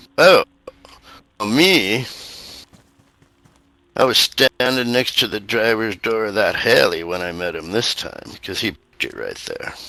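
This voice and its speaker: In a put-on character voice, a man drawls at a fairly slow pace and medium pitch, leaving long, frequent pauses. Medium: actual play. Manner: casual, drawling, colloquial.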